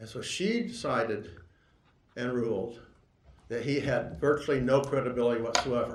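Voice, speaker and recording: Somewhat breathy and at medium pitch, a man talks with ordinary pitch variation in audible room echo. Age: 60s. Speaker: lawyer. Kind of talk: court argument. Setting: courtroom. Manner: halting.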